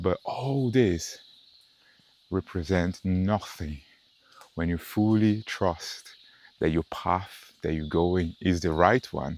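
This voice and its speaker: This man has a very deep, low voice with ordinary pitch variation. He speaks at a very slow pace, with long, frequent pauses. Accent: non-native. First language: not English. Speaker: meditation content creator. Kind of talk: walking meditation talk. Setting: outdoors on a nature walk. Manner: halting.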